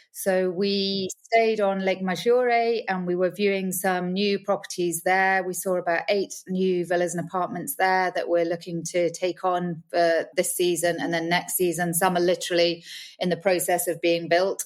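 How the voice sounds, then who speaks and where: A woman with a British accent speaks at a medium pitch and with fairly even intonation on a very clean recording with a silent background. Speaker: villa rental business owner. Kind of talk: podcast interview.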